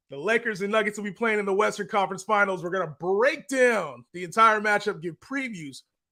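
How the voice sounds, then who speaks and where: A man with a high pitch and a bright, sharp tone speaks in a raised, projected voice at a fairly quick pace, in a very clean recording with a silent background. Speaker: sports podcast host. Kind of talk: casual sports talk show.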